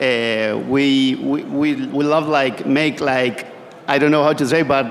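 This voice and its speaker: A man's very slow, fairly evenly intoned speech, with audible room echo and noticeable background noise. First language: Spanish. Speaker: pizza maker. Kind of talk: panel discussion. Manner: halting.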